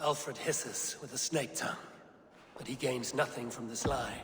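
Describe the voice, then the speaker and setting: Using a put-on character voice, a man talks at a moderate pace, with clear background noise and a slight echo. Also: medium pitch for a man. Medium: video game. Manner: measured, steely.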